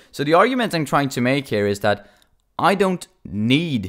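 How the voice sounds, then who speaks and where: A man speaking at a moderate pace. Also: very clean recording, silent background. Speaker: podcaster. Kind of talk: unscripted monologue. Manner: halting.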